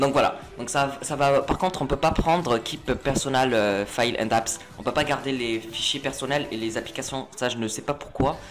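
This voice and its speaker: With music in the background, a man talks with fairly even intonation and hardly any pauses. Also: medium pitch for a man. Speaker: tech tutorial youtuber. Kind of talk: screen-recorded tutorial. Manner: fast; hesitant, many fillers.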